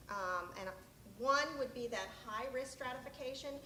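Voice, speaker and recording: A woman speaks loudly at a high pitch with ordinary pitch variation. Audible room echo and noticeable background noise surround her voice. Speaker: state health program presenter. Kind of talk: conference presentation.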